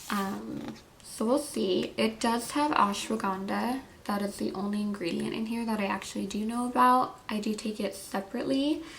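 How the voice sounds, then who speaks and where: Audible room echo surrounds a woman's voice at medium pitch. She speaks at a moderate pace with lively intonation. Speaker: beauty and wellness vlogger. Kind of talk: product review. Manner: casual with fillers.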